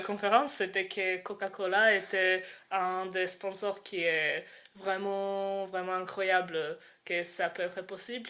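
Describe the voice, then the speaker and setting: A woman with a Croatian accent speaks very slowly in a bright, sharp tone on a very clean recording with a silent background. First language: Croatian (speaking French). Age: 20s. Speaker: student and activist. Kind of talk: interview. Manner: halting.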